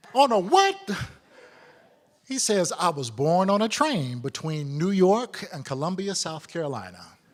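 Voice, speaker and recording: A man with a high pitch talks at a fairly slow pace with long, frequent pauses, very wide pitch swings and big swings in loudness, over noticeable background noise. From Detroit, US Midwest. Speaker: storyteller. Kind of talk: live storytelling performance. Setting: stage with audience.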